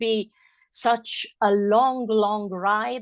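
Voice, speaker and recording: A woman speaks with an Italian accent at a fairly high pitch. The sound is dry and close with no echo, and the background is quiet. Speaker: radio host. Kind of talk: interview.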